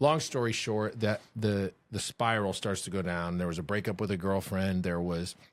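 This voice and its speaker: A man with an American accent and an unremarkable speaking voice talks at a moderate pace with hardly any pauses, a fairly low pitch and ordinary pitch variation, on a very clean recording with a silent background. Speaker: former college athlete. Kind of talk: testimony.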